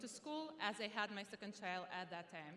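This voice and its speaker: A woman's fairly high voice with an Arabic accent. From Sudan. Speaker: student graduation speaker. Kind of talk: commencement speech.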